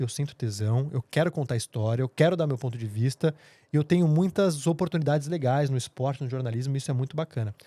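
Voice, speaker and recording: A man with a fairly high pitch and a dark, mellow, somewhat breathy tone speaks at a very fast pace with hardly any pauses and ordinary pitch variation. The recording is very clean, with a silent background and a dry, close sound with no echo. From Brazil, São Paulo. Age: 30s. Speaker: TV journalist. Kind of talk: podcast interview.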